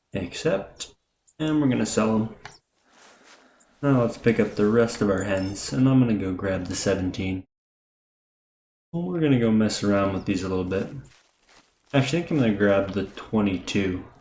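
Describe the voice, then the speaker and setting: A man's fairly low voice with ordinary pitch variation and long, frequent pauses. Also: moderate pace. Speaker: gaming youtuber. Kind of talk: gameplay commentary. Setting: home recording at night. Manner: quiet.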